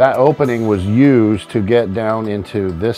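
A man speaking at a fairly slow pace over faint background music. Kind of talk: tour walkthrough explanation. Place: boat.

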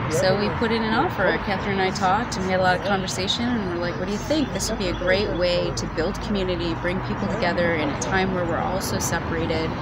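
A woman talking at a very fast pace, dry sound with no echo, loud background noise behind her. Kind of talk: interview answer. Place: cafe.

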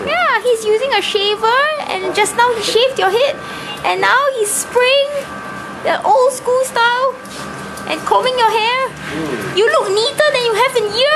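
A woman speaks at a fairly slow pace with ordinary pitch variation, clear music playing in the background. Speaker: travel vlogger narrating through a toy. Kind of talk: casual vlog chat. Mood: cheerful, amused. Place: shop. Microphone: phone near.

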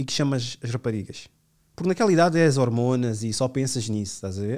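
Recorded very cleanly against a silent background, a man speaks in a dark, mellow tone with lively intonation. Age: 30s. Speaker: podcast host. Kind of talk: casual chat.

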